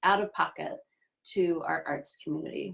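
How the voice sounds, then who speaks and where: A woman with a plain, everyday voice speaks at a moderate pace. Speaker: city council politician. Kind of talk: candidate forum statement.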